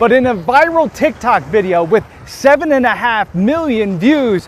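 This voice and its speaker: A man with a high voice swings very widely in pitch as noticeable noise fills the background. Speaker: TV news reporter. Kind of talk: news reporting montage.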